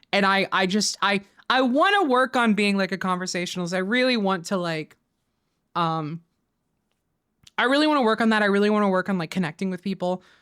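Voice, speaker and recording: Speaking at a fairly quick pace with an American accent, the voice shows ordinary pitch variation and takes long, frequent pauses on a very clean recording with a silent background. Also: woman, medium pitch for a woman. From Florida Panhandle, Pensacola. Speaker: streamer. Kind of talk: casual livestream chat. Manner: halting, many repetitions and fillers.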